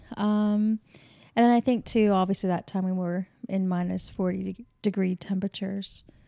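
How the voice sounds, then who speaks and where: Flat, monotone delivery with a dry, close sound, no echo and a very clean, silent background. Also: woman, medium pitch for a woman, moderate pace. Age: 40s. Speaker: podcast co-host. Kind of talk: casual chat. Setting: kitchen table.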